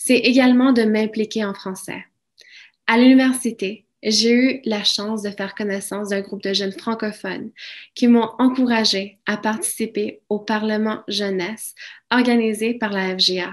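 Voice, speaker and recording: The speaker has a Spanish accent and a fairly slow pace with fairly even intonation. The background is quiet. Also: woman, fairly high pitch for a woman. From Mexico, raised in Alberta, Canada from childhood. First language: Spanish (speaking French). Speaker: francophone community member. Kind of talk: prepared speech.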